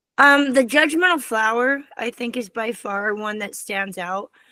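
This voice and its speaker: A woman's fairly high voice has a bright, sharp tone and ordinary pitch variation. The sound is dry and close with no echo, a very clean recording over a silent background. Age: 60s. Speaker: children's author. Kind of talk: interview.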